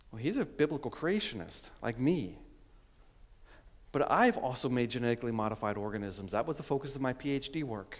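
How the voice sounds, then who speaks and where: A man talks at a fairly quick pace in a normal speaking voice. His intonation is lively. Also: medium pitch for a man. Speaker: scientist and creationist speaker. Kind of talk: conference talk.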